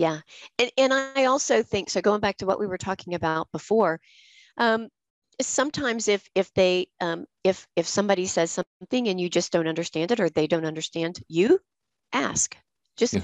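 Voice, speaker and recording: A woman with a plain, everyday voice and an American accent, medium pitch, lively intonation, a moderate pace, and a dry, close sound with no echo against a quiet background. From US South. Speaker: podcast host. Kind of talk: casual chat.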